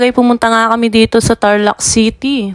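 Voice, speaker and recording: In a dry, close sound with no echo, the voice takes a playful tone at a fairly slow pace. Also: woman. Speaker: vlogger. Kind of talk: voice-over vlog narration. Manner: casual, playful.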